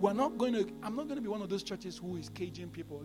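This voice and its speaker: A man's very fast speech over background music, with audible room echo. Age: 40s. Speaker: pastor. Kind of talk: sermon.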